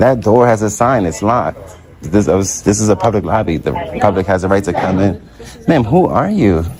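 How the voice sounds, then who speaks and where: At a fairly quick pace, a man with a fairly low pitch talks over noticeable background noise. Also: ordinary pitch variation. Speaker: first amendment auditor. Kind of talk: confrontation with police. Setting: public lobby of health facility. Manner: calm, measured.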